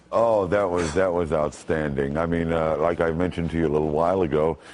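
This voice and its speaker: A man with a resonant, very deep, low voice speaks at a fairly quick pace, with fairly even intonation and very even loudness. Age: 50s. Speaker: voice actor. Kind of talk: live TV interview answer.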